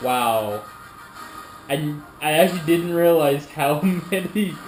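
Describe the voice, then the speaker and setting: A man with a fairly high pitch and ordinary pitch variation talks amid noticeable background noise and audible room echo. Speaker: YouTuber reacting to videos. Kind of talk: casual reaction commentary. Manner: halting, stumbling over words.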